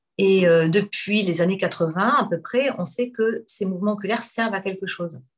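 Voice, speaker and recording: Somewhat breathy and at a medium pitch, a woman speaks with hardly any pauses. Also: ordinary pitch variation, moderate pace. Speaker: hypnotherapist. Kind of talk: casual chat.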